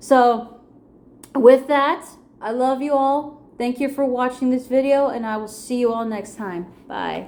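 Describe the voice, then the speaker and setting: A woman speaks at a high pitch and a fairly slow pace. Her loudness swings widely. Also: fairly even intonation. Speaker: vlogger. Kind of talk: personal vlog monologue. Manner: slight stutter.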